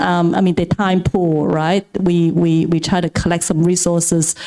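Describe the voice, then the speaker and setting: At a moderate pace, a woman talks with a fairly low pitch. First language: not English. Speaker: venture capital partner. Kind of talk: panel talk at event. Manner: halting, repeats words.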